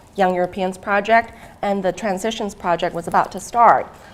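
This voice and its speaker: Speaking at medium pitch, a woman talks with a Thai accent. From Thailand. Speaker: academic researcher. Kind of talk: conference talk. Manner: hesitant, many fillers.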